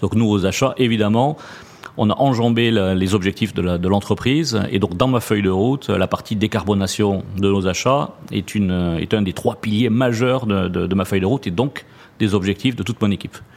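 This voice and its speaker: Speaking at a moderate pace with a fairly low pitch, ordinary pitch variation and very even loudness, a man is heard over noticeable background noise. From southwest France, Toulouse region. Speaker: purchasing director. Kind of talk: interview.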